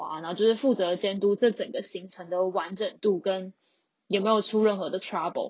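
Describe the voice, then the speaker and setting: A woman's medium-pitched voice with a Taiwanese accent and fairly even intonation. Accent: Taiwanese Mandarin. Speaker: podcast host, tour leader. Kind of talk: casual solo monologue. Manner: flat, monotone.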